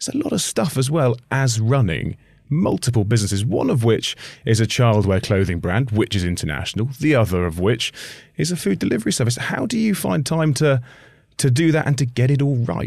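A man talks at a fairly quick pace with lively intonation and a medium pitch. His voice is somewhat breathy, and the recording is very clean with a silent background. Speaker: podcast host. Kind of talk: interview.

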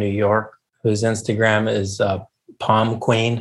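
Speaking with an American accent, a man uses a plain, everyday voice at fairly low pitch and a fairly slow pace. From US South, Charleston, South Carolina. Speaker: chef. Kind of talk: casual interview.

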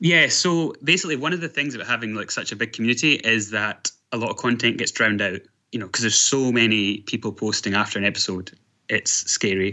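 Lively intonation marks this man's very fast speech in a Scottish accent. His pitch sits at a medium level. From Scotland. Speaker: online forum moderator. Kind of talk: interview. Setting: video call.

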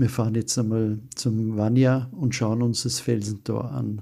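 Somewhat breathy and dark, mellow in tone, a man talks at medium pitch and a fairly slow pace with fairly even intonation. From Austria. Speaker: retreat center director. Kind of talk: interview.

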